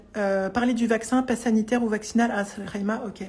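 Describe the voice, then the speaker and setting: The voice stays monotone and flat, with noticeable background noise behind it. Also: woman. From France, Vosges. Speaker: psychologist and coach. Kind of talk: live stream Q&A testimony. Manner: fast; hesitant, many fillers.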